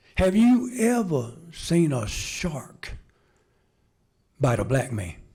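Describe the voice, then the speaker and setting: In an audible room echo, a man with an American accent and a dark, mellow tone speaks very slowly, his fairly high pitch making very wide swings. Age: 70s. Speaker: retired firefighter and fire instructor. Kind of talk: ceremony speech, humorous storytelling. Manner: halting, repeats words.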